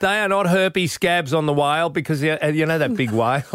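A man with an Australian accent speaks at a moderate pace in a fairly high pitch, his bright, sharp tone carried by lively intonation. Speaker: radio host. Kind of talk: casual chat.

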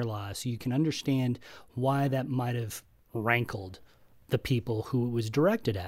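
With a plain, everyday voice, a man talks fairly slowly and with ordinary pitch variation, captured in a very clean recording with a silent background. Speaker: podcast co-host, film reviewer. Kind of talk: podcast panel discussion.

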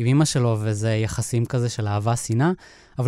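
This man's voice has a dark, mellow tone. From Israel, moshav near Netanya. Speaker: animator and filmmaker. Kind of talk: interview. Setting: studio. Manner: halting.

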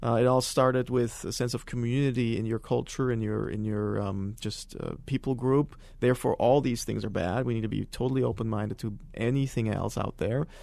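A man's medium-pitched voice with a German accent, dark, mellow tone, fairly even intonation and a fairly quick pace with hardly any pauses. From Germany (countryside). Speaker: former extremist giving testimony. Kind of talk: testimony interview. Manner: halting, many fillers.

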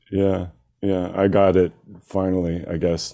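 Monotone, flat intonation in an American accent. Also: man. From US, Seattle. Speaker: DJ and music producer. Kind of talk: casual interview. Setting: video call. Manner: halting.

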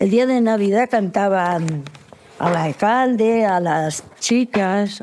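A woman speaks at a very slow pace with very even loudness. Noticeable background noise can be heard. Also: medium pitch for a woman, ordinary pitch variation. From rural Guadalajara, Spain. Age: 80s+. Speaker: elderly villager. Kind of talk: interview.

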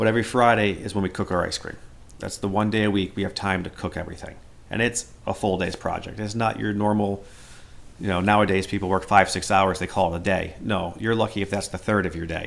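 A man's fairly low, monotone, flat voice at a very fast pace. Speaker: dairy farm worker. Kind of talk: interview.

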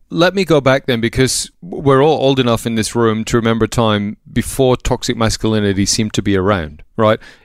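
In an Australian accent, the speaker talks at a fairly quick pace with very even loudness and hardly any pauses, the sound dry and close with no echo on a very clean recording with a silent background. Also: man, medium pitch for a man, ordinary pitch variation. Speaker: radio host. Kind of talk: casual chat.

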